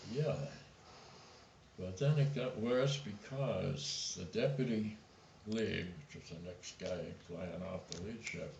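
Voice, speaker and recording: A man speaks very slowly at a medium pitch, with lively intonation, big swings in loudness, and long, frequent pauses. Noticeable background noise and audible room echo are present. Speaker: war veteran. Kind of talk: testimony.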